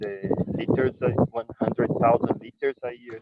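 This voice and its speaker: A man's voice at medium pitch. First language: Portuguese. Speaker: winery owner. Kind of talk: presentation. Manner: halting.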